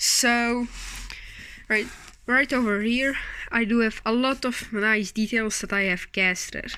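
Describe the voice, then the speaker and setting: A woman with a non-native accent speaks at a fairly high pitch and a fairly slow pace. Her intonation is fairly even, broken by long, frequent pauses. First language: not English. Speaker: scale model maker. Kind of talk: tutorial. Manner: hesitant, with fillers.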